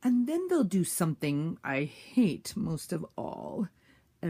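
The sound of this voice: Reading in an unforced voice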